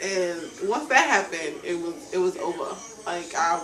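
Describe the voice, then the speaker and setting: A woman's medium-pitched voice comes through noticeable background noise and audible room echo. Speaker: reality show personality and singer. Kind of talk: interview.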